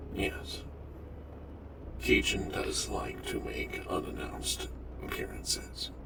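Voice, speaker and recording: A man puts on a character voice at a fairly slow pace over loud background noise. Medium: game stream. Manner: formal, precise, slightly stilted.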